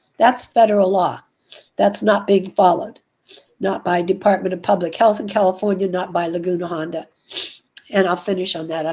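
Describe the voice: A woman's put-on character voice, hoarse and raspy, medium in pitch, at a fairly quick pace with fairly even intonation and long, frequent pauses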